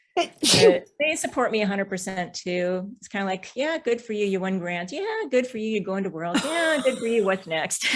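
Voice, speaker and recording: With an American accent, a woman of medium pitch speaks at a moderate pace with lively intonation and big swings in loudness, over noticeable background noise. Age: 60s. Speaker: BMX racer. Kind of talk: podcast interview.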